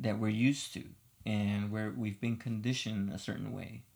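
A man with an American accent has an unremarkable speaking voice. He speaks at a fairly slow pace in a medium pitch. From Los Angeles, US. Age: 30s. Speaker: podcast co-host, musician. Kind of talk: casual chat.

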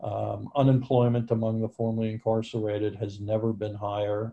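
With an American accent, a man talks at a fairly quick pace in a fairly low, somewhat breathy voice, his intonation monotone and flat. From New York. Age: 60s. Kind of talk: interview.

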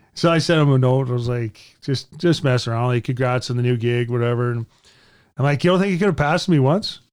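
Speaking very fast with ordinary pitch variation and a Canadian accent, this voice comes through on a very clean recording with a silent background. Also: man, medium pitch for a man. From Edmonton, Alberta, Canada. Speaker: retired hockey player. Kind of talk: interview storytelling. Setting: studio. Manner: animated.

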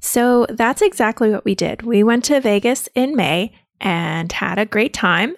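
In a plain, everyday voice, a woman speaks fairly slowly at a fairly high pitch, her intonation lively, her loudness very even, and the sound dry and close with no echo. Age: 30s. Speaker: podcast host and labor nurse. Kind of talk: solo podcast, personal birth story. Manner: casual, conversational with laughs.

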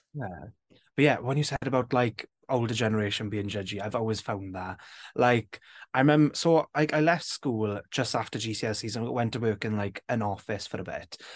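Recorded dry and close with no echo, a man with a South Wales Valleys accent speaks at a fairly quick pace, medium pitch and ordinary pitch variation. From south Wales Valleys, Rhondda. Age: 20s. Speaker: drag queen and TikToker. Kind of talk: casual chat.

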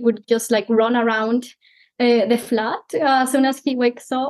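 A woman with a high voice and a Spanish accent talks at a fairly slow pace. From Mexico. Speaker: PhD candidate. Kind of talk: casual interview.

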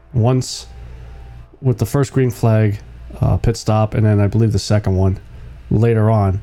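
A fairly low-pitched man talks at a very even loudness, with fairly even intonation. He leaves long, frequent pauses while music plays in the background. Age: 40s. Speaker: sports podcast host. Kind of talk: casual solo commentary. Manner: halting, many fillers.

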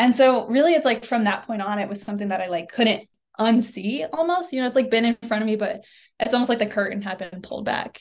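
A fairly high-pitched woman with an American accent, speaking very fast. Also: ordinary pitch variation. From Oklahoma, US. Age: 20s. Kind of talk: interview. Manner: casual, many fillers.

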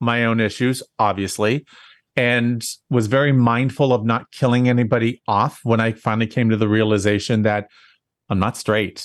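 A man speaks at a medium pitch in an ordinary speaking voice, with ordinary pitch variation over a quiet background. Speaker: event designer and planner. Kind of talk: interview.

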